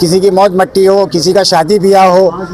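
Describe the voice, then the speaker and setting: A high-pitched man's voice against noticeable background noise. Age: 60s. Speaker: local supporter of a candidate. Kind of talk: street interview.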